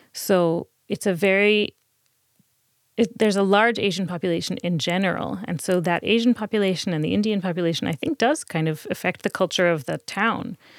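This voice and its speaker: A woman with an American accent speaks at a fairly quick pace and medium pitch, with ordinary pitch variation, in a plain, everyday voice, on a very clean recording with a silent background and a dry, close sound with no echo. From New Jersey. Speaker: museum curator. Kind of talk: interview. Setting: studio.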